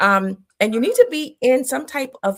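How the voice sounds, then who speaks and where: The recording is very clean, with a silent background. The speech moves at a very slow pace. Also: woman. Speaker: business coach. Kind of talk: casual interview chat. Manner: soft-spoken.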